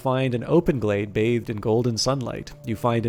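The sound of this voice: The speaker uses an unforced reading voice. Intonation stays fairly even.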